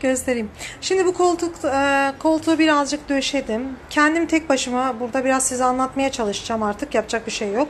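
A woman talks with a high pitch. Light background noise can be heard. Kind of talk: casual vlog chat. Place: home room. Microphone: phone near.

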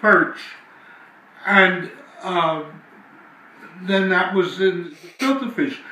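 A man with an American accent speaks very slowly in a raised, projected voice, high in pitch with ordinary pitch variation. Audible room echo surrounds him. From South Philadelphia, USA. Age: 80s+. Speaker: family elder recalling memories. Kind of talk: interview answer. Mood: animated reminiscing. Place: home room.

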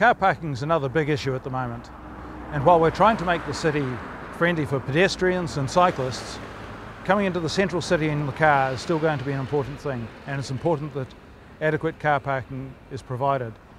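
Over noticeable background noise, a man talks very fast in a dry sound with no echo. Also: ordinary pitch variation. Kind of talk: official update to camera. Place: street.

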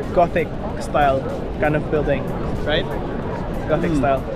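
Music plays behind a man whose voice has a dry sound with no echo. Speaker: travel vlogger. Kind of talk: casual vlog chat. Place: street. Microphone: phone near.

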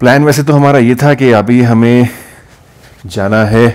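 Speech comes at a fairly slow pace with ordinary pitch variation. Light background noise is audible. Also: man. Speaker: travel vlogger. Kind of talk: casual vlog chat. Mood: cheerful, upbeat. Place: home room. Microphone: phone near.

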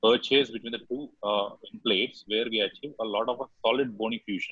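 A man at a moderate pace with fairly even intonation, dry with no echo, over a quiet background. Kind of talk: lecture. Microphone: video call.

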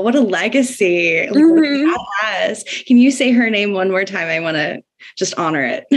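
In an ordinary speaking voice, a woman talks at a moderate pace with a fairly high pitch. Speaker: podcast host. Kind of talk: casual chat.

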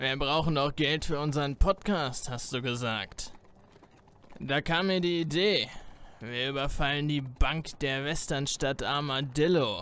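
In a put-on character voice, the speaker sounds raspy and goes at a fairly slow pace with ordinary pitch variation. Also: man, fairly high pitch for a man. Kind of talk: comic overacting. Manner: would-be cool, drawling.

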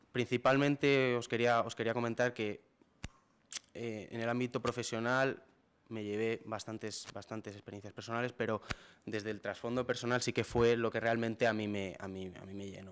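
A man speaks at a moderate pace. His pitch is medium and his intonation fairly even. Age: 20s. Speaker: young entrepreneur, startup founder. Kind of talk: talk to an audience. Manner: hesitant, many fillers. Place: hall. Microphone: podium.

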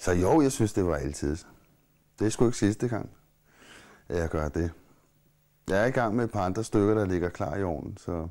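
Against a quiet background, a man with a very deep, low voice and a dark, mellow tone talks at a moderate pace with lively intonation and long, frequent pauses. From Copenhagen, Amager; Copenhagen. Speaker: musician and playwright; interviewee. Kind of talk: interview. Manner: halting. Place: home room.

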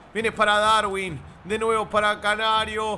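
With a raised, projected voice, a man speaks at a high pitch. His tone is bright and sharp, with ordinary pitch variation. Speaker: gaming streamer. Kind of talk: casual chat. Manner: mock play-by-play commentary.

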